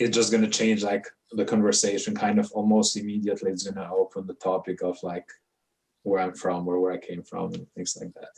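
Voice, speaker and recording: At a fairly quick pace, a man with a non-native accent talks with big swings in loudness. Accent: noticeable foreign. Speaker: immigrant panelist. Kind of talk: panel discussion.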